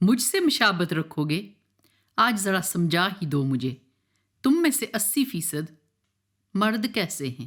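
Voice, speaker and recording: This woman's voice is fairly low in pitch. The recording is very clean, with a silent background. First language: Pahari (speaking Hindi). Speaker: spoken word poet. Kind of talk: poetry reading.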